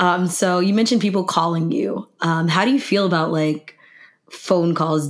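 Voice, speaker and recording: In an ordinary speaking voice, a woman talks at a fairly low pitch. Her pace is fairly slow and her pitch variation ordinary. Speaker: podcast host. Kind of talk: casual chat.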